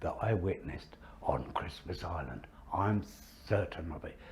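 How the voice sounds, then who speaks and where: There is vocal fry in this man's fairly low, dark, mellow voice, which has ordinary pitch variation. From southeast England, north east Kent. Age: 80s+. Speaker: war veteran. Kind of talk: interview testimony.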